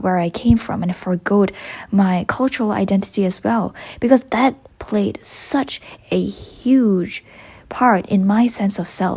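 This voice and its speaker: A woman's medium-pitched voice with a strong Malaysian accent, ordinary pitch variation, a moderate pace and noticeable background noise. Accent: Malaysian, heavy. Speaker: university student vlogger. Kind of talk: reflective vlog narration.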